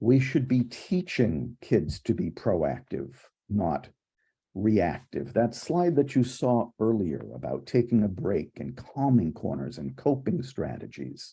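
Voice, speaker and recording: A man with a dark, mellow tone and vocal fry speaks very slowly at a medium pitch, his pitch swinging very widely. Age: 60s. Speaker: clinical psychologist and conference host. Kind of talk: conference keynote talk.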